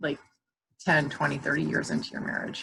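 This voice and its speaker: With an American accent, the speaker moves at a fairly quick pace and shows vocal fry. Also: woman. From Orlando, Florida, US South. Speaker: counselor. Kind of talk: talk to a group of moms.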